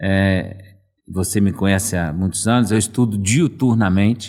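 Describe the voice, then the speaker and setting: An unremarkable speaking voice from a man, fairly low in pitch at a moderate pace, in a very clean recording with a silent background. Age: 60s. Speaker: management consultant. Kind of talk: casual chat.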